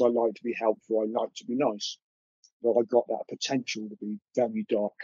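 At a moderate pace, a man with a medium pitch speaks in an English accent. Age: 50s. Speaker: artist and witness of paranormal encounters. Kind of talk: interview recounting personal encounters. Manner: halting.

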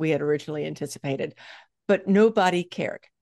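A woman with an ordinary speaking voice and lively intonation is heard in a dry, close sound with no echo. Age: 60s. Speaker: fitness coach and author. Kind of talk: casual interview chat.

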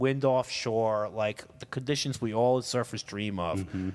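A medium-pitched male voice with a New York accent and hardly any pauses. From New York City, Queens. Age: 40s. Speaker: firefighter captain. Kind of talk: casual chat.

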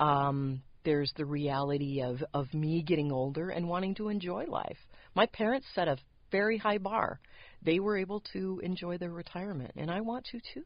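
This woman has a fairly low pitch and lively intonation, speaking at a moderate pace in an unremarkable speaking voice. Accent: American. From San Diego, California. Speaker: post-production manager. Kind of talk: interview.

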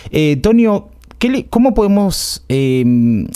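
Using a dark, mellow tone, this man lets his pitch swing very widely. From Argentina, Buenos Aires area. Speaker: podcast host. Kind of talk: casual chat.

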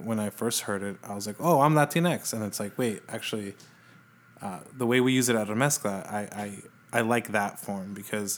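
Using a plain, everyday voice, a man with an American accent and a fairly low pitch speaks at a moderate pace with ordinary pitch variation. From El Paso, Texas. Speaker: music writer and editor. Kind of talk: casual interview.

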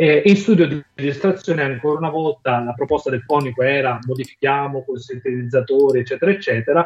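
Somewhat breathy, a man with a fairly high pitch speaks very fast with hardly any pauses and ordinary pitch variation. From southern Italy, Campania. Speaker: musician, songwriter. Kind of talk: interview.

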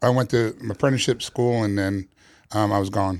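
In a very clean recording with a silent background, a man speaks in an unremarkable speaking voice with an American accent. His pitch is fairly low, his pace moderate and his intonation fairly even. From New York City, Queens. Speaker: barbecue pitmaster. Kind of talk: casual interview.

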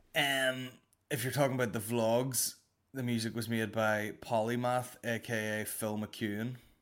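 Someone with a Northern Irish accent talks at a fairly slow pace on a very clean recording with a silent background. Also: man. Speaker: comedy podcast host. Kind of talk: casual comedic monologue. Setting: home recording straight into editing software. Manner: animated.

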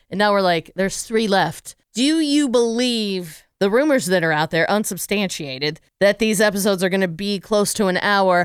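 On a very clean recording with a silent background, a woman with an American accent speaks at a medium pitch and moderate pace with hardly any pauses. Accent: slight Pittsburgh, mostly not. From Pittsburgh, Pennsylvania. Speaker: podcast host. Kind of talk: casual chat.

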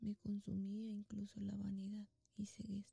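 A woman's somewhat breathy, medium-pitched voice, dark and mellow in tone, at a fairly slow pace. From Mexico, Guanajuato. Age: 30s. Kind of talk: religious testimony.

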